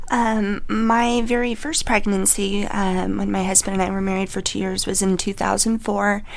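A woman's medium-pitched voice at a moderate pace, with fairly even intonation and audible room echo. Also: hardly any pauses. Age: 30s. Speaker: stay-at-home mom sharing pregnancy loss story. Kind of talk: panel discussion, personal testimony. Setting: studio. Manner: halting.

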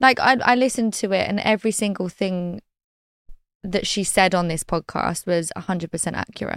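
A woman with a British accent speaks at a fairly quick pace and medium pitch, with ordinary pitch variation, on a very clean recording with a silent background and a dry, close sound free of echo. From Britain. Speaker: reality TV personality. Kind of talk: casual interview chat.

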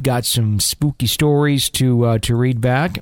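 Recorded dry and close with no echo, a man in a normal speaking voice talks at medium pitch with ordinary pitch variation. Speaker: podcast host. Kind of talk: ghost story narration. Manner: conversational, earnest, warm.

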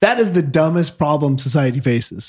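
A man with an American accent has a dark, mellow tone that is somewhat breathy, with ordinary pitch variation. The sound is dry and close with no echo, in a very clean recording with a silent background. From Michigan, near Detroit. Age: 40s. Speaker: actor. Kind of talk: casual interview chat.

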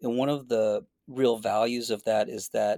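An American accent marks this man's plain, everyday voice, medium in pitch with fairly even intonation, dry and close with no echo on a very clean recording with a silent background. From Boston. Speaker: clinical psychologist. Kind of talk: interview conversation.

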